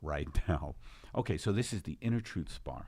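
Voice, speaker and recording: A man with a New York accent speaks at a very deep, low pitch and a moderate pace. His pitch swings very widely. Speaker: podcast host.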